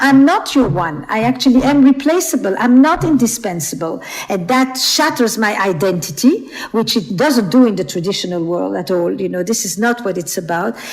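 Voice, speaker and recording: Noticeable background noise sits behind a woman speaking at a moderate pace. Her fairly high voice moves through very wide pitch swings. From Flemish Belgium. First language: Flemish (Dutch). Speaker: author and relationship expert. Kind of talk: podcast interview.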